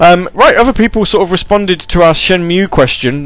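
The speaker has an American accent and a moderate pace. Music plays in the background. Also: man. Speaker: internet radio DJ. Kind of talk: casual radio chat between music tracks. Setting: home studio, live stream with chat. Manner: casual, many filler ums.

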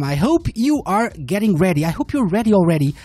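With music playing in the background, a woman speaks in an upbeat tone, her pitch swinging very widely. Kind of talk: live radio DJ breakfast show patter, chatty sign-ons and song intros. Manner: sleepy yet upbeat, chatty and welcoming, bantering with callers and hyping tracks.

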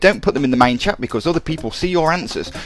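Lively in intonation and very fast, a man talks with noticeable background noise around him. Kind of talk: radio DJ patter: back-announcing tracks between songs, breezy and chatty. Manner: quick, casual and upbeat, with filler 'uh's and enthusiastic 'love that track' asides.

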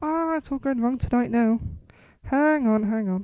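Speaking with a Geordie accent, a woman has a dark, mellow tone and a fairly high pitch. She goes at a fairly slow pace against a quiet background. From northern England, Newcastle area. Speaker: radio show host. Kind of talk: casual radio presenting.

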